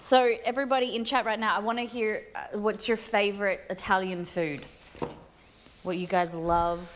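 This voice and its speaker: A woman with an Australian accent speaks at a moderate pace and fairly high pitch, with ordinary pitch variation. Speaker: cooking streamer. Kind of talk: casual chat.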